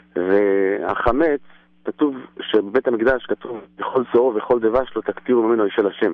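Using a normal speaking voice, a man at medium pitch talks at a fairly slow pace with ordinary pitch variation and very even loudness. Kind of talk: Torah talk. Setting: phone call.

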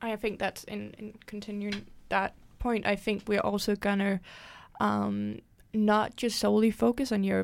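In a very clean recording with a silent background, a woman speaks with a Danish accent. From Denmark. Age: 20s. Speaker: student podcast host. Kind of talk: casual podcast discussion.

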